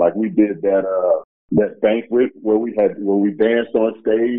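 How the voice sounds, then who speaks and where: A man with an American accent and a fairly low pitch talks in a normal speaking voice. His pace is moderate and his pitch varies in an ordinary way. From US Midwest (Chicago). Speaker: former pro basketball player. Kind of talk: interview.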